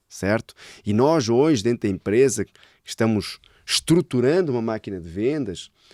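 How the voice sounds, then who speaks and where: A man with a European Portuguese accent and a dark, mellow tone, big swings in loudness, and a dry, close sound with no echo on a very clean recording with a silent background. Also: medium pitch for a man, lively intonation, moderate pace. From Portugal. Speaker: sales director. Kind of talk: casual interview chat.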